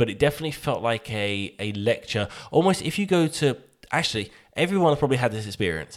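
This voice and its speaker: A man with a British accent talks at a very fast pace with a medium pitch and very wide pitch swings. The recording is very clean with a silent background. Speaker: podcast co-host. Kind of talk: casual chat.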